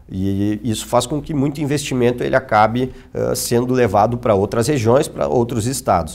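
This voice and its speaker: At a moderate pace and with hardly any pauses, a man speaks with ordinary pitch variation. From Erechim, Rio Grande do Sul, Brazil; Rio Grande do Sul, Brazil. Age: 30s. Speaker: city councillor and politician; city councillor, politician. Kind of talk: TV interview. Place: studio. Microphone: lapel.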